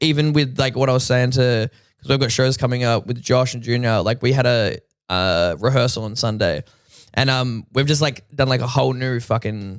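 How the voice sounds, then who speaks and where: Moderately paced male speech in an Australian accent, medium in pitch with ordinary pitch variation. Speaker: rapper. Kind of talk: casual chat. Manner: animated.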